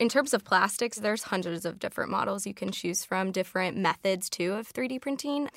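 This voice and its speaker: Using a plain, everyday voice, a woman with an American accent talks at a fairly quick pace and medium pitch, with ordinary pitch variation and hardly any pauses. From Chicago. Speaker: technology consultant. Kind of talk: casual interview chat.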